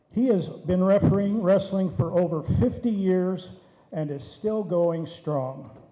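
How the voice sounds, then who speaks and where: With an American accent, a man speaks at a high pitch in a room with audible echo. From Oklahoma. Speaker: master of ceremonies, wrestling referee. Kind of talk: award introduction. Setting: banquet hall with audience.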